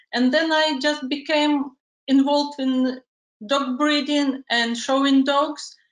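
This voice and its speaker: A woman speaks very slowly in a high, monotone voice with flat intonation and very even loudness. The background is quiet, though room echo is audible. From Ukraine. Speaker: dog photographer. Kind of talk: interview, partly prepared self-promotion. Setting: video call. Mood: calm, friendly. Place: home room. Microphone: video call.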